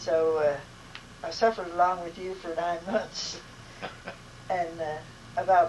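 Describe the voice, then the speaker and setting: Against noticeable background noise, a woman with a fairly low pitch talks at a moderate pace with fairly even intonation. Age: 80s+. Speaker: grandmother. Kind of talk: interview answer.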